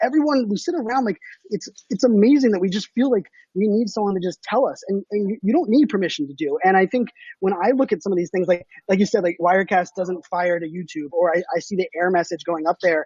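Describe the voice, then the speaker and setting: Very fast and animated, a man speaks at a high pitch with lively intonation. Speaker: social media marketing expert. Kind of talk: interview. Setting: live stream.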